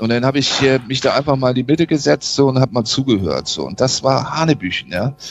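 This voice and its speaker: A man at medium pitch talks at a very fast pace with ordinary pitch variation and hardly any pauses. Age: 50s. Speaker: sales and marketing consultant. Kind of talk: interview.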